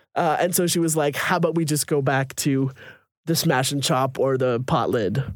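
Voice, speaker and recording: Fairly quick and fairly high in pitch, this man talks with ordinary pitch variation. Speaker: podcast co-host. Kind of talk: casual chat. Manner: loud.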